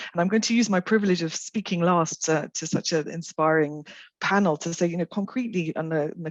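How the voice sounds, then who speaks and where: A woman speaks very fast in a fairly low pitch with ordinary pitch variation, her voice dry and close with no echo against a quiet background. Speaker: WHO official. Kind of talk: panel discussion. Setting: video call. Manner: loud, fast.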